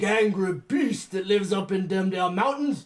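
Putting on a character voice, a man speaks at a moderate pace in a high pitch, sounding gravelly and guttural. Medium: actual play. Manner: folksy, rambling.

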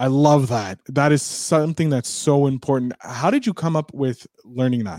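At a moderate pace and with hardly any pauses, a man speaks in a dark, mellow, fairly high voice with ordinary pitch variation. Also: dry, close sound with no echo. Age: 30s. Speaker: podcast host. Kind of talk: casual chat. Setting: live-streamed video call.

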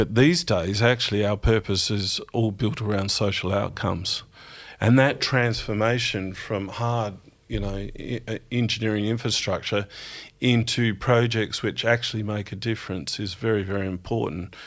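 A man with an Australian accent speaks at a moderate pace. His pitch is fairly low and his intonation fairly even. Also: very clean recording, silent background. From South Australia (country town). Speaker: engineering company managing director. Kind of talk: interview.

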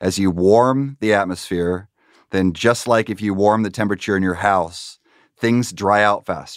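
On a very clean recording with a silent background, a man with a fairly low pitch speaks at a moderate pace in fairly even intonation. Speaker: climate scientist. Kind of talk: interview. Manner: matter-of-fact.

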